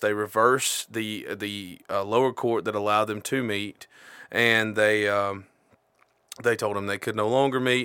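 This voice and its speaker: This man's tone is bright and sharp. He talks fairly slowly with fairly even intonation. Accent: Southern US. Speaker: podcast co-host. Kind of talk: casual chat.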